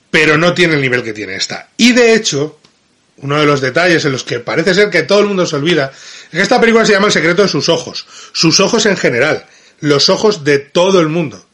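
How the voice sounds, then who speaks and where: A man with a Madrid accent and a high pitch, very fast and animated, with lively intonation. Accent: Madrid Castilian Spanish. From Spain, Madrid. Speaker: film critic. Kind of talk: video film review.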